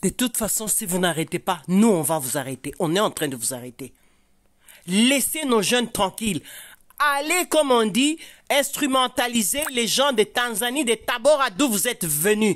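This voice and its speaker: A woman's fairly high voice with vocal fry and very wide pitch swings, at a fairly slow pace, in a very clean recording with a silent background. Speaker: activist and video commentator. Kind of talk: angry rant. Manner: indignant, scolding, fiery.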